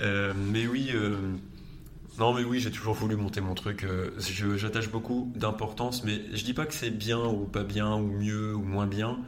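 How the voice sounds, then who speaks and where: A man speaks at a fairly slow pace with fairly low pitch and monotone, flat intonation. Noticeable background noise and audible room echo fill the recording. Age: 20s. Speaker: entrepreneur. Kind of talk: interview.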